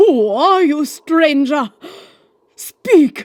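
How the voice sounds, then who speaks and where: A put-on character voice. It sits at a high pitch. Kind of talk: grand theatrical oath-swearing. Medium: audio drama. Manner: commanding, melodramatic.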